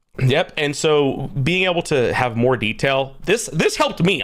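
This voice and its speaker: A man speaks with lively intonation and an animated tone at a fairly high pitch. Noticeable background noise is present. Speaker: gaming streamer interviewer. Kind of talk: livestream interview. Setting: live stream. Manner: loud.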